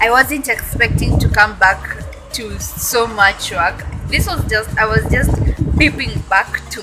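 With music playing behind her, a woman speaks at a fairly slow pace. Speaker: vlogger. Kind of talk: casual vlog chat. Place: street. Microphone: phone near.

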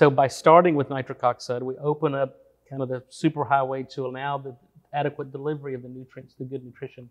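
A man talks at a very fast pace in a fairly high, monotone, flat voice, his loudness swinging widely. The background is quiet. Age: 40s. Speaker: biochemist and supplement entrepreneur. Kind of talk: interview. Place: studio. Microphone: lapel.

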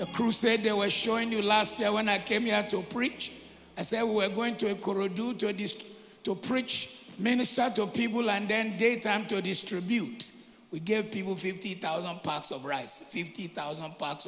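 Over light background noise, a man uses a raised, projected voice at a fairly slow pace with ordinary pitch variation. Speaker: preacher. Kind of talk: sermon. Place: church. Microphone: handheld.

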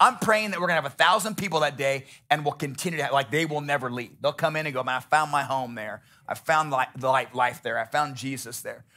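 Ordinary pitch variation marks a man talking at a very fast pace. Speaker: pastor. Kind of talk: sermon. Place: church. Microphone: headset.

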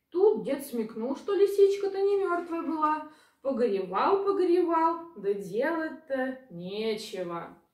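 A woman speaks at a fairly slow pace in a high, slightly mellow voice with big pitch swings. Audible room echo surrounds her.

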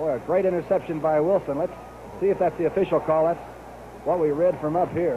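Against noticeable background noise, a man talks very fast in a confident tone with fairly even intonation. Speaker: TV football announcer. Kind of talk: live radio sports commentary, 1970 NFL broadcast, play-by-play and analysis. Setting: press box stadium broadcast, live radio. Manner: crisp, knowledgeable color-analyst tone, explaining plays with confident detail. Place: stadium.

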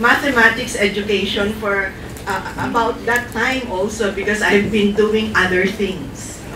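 Noticeable background noise sits behind a woman whose intonation is monotone and flat. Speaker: invited lecturer. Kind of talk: lecture. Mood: warm, smiling. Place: classroom.

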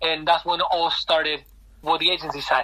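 A man speaks at a very fast pace with a Spanish accent, his high-pitched voice bright and sharp in tone. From Argentina. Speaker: football agent. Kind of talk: interview.

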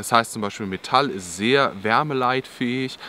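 At a moderate pace, a man speaks in dry sound with no echo. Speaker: outdoor channel host. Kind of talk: tutorial. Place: forest.

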